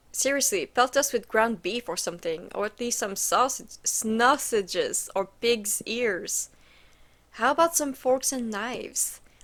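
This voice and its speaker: A woman's fairly high voice, lively in intonation, at a fairly slow pace. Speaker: gaming streamer. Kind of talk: let's play commentary, reading game text aloud. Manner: soft-spoken, quiet talking; loud when laughing.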